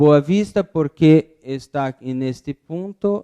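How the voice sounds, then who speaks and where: With a dark, mellow tone, this man delivers his words very slowly. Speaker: architect giving a talk. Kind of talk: lecture. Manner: halting, with self-corrections.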